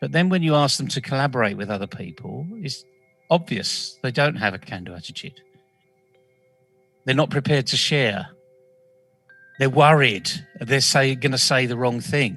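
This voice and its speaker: Pausing long and often, a man with a British accent speaks at a medium pitch with lively intonation while music plays in the background. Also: moderate pace. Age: 60s. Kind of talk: interview. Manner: animated.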